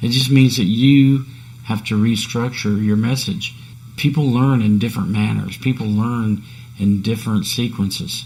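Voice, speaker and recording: A man's somewhat breathy, dark and mellow voice at medium pitch, moderate pace and ordinary pitch variation. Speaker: podcast host. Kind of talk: solo podcast talk on self-improvement. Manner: casual, conversational.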